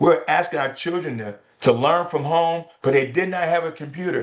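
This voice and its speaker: This man speaks at a moderate pace with a high pitch. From rural Georgia, Burke County. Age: 60s. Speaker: politician, gubernatorial candidate. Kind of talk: campaign interview. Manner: emphatic, oratorical.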